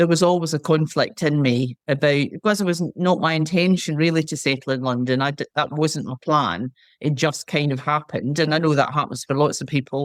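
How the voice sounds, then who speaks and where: Someone with a Scottish accent talks with hardly any pauses and ordinary pitch variation, captured in a very clean recording with a silent background and a dry, close sound with no echo. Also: woman, very deep, low pitch for a woman. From Scotland, Lanarkshire. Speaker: retired market researcher and charity volunteer. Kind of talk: podcast interview.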